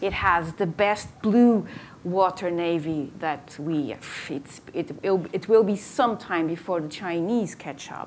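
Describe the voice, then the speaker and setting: A woman with a Portuguese accent, her fairly low pitch carrying ordinary variation, at a very slow pace over light background noise. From Portugal. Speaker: moderator and researcher; moderator. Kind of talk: moderated debate. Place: hall.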